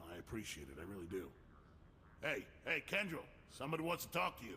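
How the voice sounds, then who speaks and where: A man does a put-on character voice, raspy and fairly low in pitch, with very wide pitch swings. He talks at a very fast pace over clear background noise. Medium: video game. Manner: nervous, self-protective.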